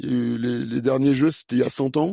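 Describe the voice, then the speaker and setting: In a dry, close sound with no echo, a man at medium pitch speaks with a dark, mellow tone and fairly even intonation. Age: 50s. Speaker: fencing coach and former Olympic fencer. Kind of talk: interview. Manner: hesitant, many fillers.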